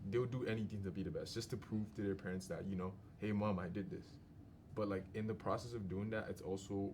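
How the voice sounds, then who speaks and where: A man talks at a very fast pace with fairly low pitch and a somewhat breathy voice. His intonation is fairly even, and audible room echo surrounds him. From Nigeria. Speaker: podcast guest. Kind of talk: casual group discussion.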